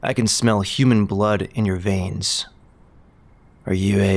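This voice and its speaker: A man's put-on character voice, fairly low-pitched and fairly slow, on a very clean recording with a silent background. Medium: audio drama. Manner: cold, curt.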